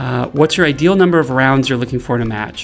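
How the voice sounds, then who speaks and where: A man at a fairly high pitch with ordinary pitch variation, over noticeable background noise. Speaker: game developer. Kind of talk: livestream Q&A. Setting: studio with green screen. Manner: fast.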